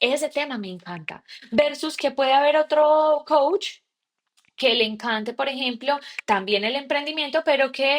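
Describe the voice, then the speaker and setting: A woman is talking. Her pitch moves up and down in an ordinary way. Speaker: podcast host and coach. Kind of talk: solo podcast monologue. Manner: casual, with frequent fillers and self-corrections.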